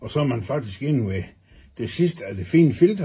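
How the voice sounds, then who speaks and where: The tone is dark, mellow and somewhat breathy. The intonation is lively. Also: man. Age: 60s. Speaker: customer reviewer, tool enthusiast. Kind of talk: product review demonstration. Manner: casual, chatty.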